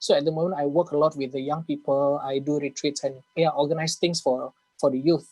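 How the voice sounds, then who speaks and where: Fairly even intonation from a man with a fairly high pitch, dry, close sound with no echo, music in the background. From Indonesia. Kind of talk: casual Q&A in an online English class.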